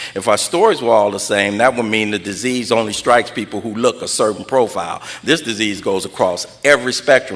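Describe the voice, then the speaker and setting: Speaking with an American accent at medium pitch, a man talks at a fairly quick pace with hardly any pauses and ordinary pitch variation over noticeable background noise. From Los Angeles (South Central, Watts). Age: 60s. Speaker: recovery speaker. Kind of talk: personal testimony at an AA meeting.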